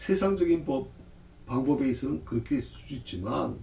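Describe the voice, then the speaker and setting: A man is heard with audible room echo. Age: 60s. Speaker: pastor. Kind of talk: Bible study lecture. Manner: conversational, with frequent fillers.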